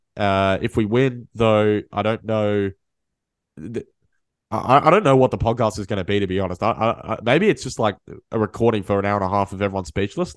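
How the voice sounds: A fairly quick, nasal male voice, fairly low in pitch, with ordinary pitch variation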